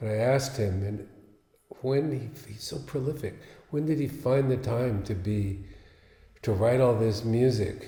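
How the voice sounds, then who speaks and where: A somewhat breathy voice with a dark, mellow tone moves at a fairly slow pace with long, frequent pauses and ordinary pitch variation. Audible room echo surrounds it. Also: man, medium pitch for a man. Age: 70s. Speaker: luthier and guitarist. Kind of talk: casual talk about his piece and guitar. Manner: halting, with fillers.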